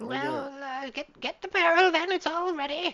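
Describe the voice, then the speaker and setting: This is a put-on character voice, high-pitched and squeaky. It moves at a moderate pace. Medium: actual play. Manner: hesitant, stammering.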